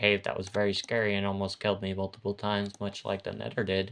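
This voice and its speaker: In a quiet background, a man with an ordinary speaking voice talks at a fairly quick pace in a fairly low pitch. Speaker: gaming video creator.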